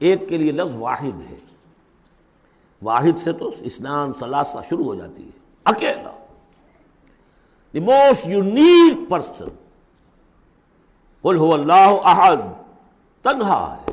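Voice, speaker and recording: The voice makes very wide pitch swings and big swings in loudness. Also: man, high pitch for a man. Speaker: Islamic scholar giving a religious lecture. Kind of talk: Quran commentary lecture (tafseer).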